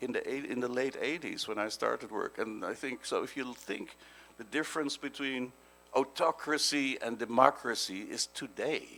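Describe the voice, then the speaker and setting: The pace here is moderate. The speaker is a man with a Dutch accent. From Netherlands. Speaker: policy advisor. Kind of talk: panel talk. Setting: stage with audience. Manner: halting.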